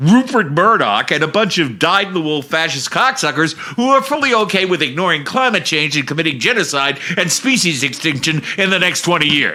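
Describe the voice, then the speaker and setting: With noticeable noise in the background, a man talks at a fairly quick clip in a high voice, his pitch swinging very widely, his loudness very even and hardly any pauses breaking his speech. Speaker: political podcast host. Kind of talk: political commentary rant. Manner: animated; shouting.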